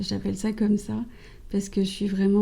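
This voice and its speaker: There is a dark, mellow tone here. Some breathiness runs through the voice. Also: woman. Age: 20s. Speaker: cancer survivor, communications officer. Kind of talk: interview testimony. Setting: podcast interview.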